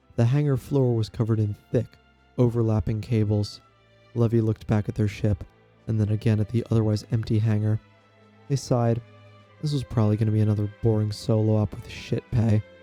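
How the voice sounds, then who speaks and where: With music in the background, a man talks at a fairly quick pace in a fairly low pitch and fairly even intonation, the sound dry and close with no echo. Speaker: narrator of tabletop game stories. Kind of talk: read story narration.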